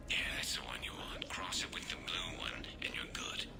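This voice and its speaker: Whispering in a put-on character voice at a moderate pace, the speaker is heard over loud background noise. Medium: machinima.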